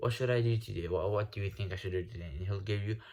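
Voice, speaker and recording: A man's fairly low, somewhat breathy voice with a non-native accent and ordinary pitch variation, on a very clean recording with a silent background. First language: not English. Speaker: self-improvement YouTuber. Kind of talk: casual vlog rant. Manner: halting, with repetitions and false starts; casual, slangy.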